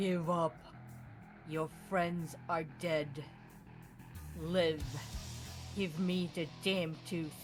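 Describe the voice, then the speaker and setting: In a put-on character voice, the speaker booms at a middle pitch with a menacing tone, moving at a very slow pace with long, frequent pauses over clear background noise. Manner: menacing, commanding.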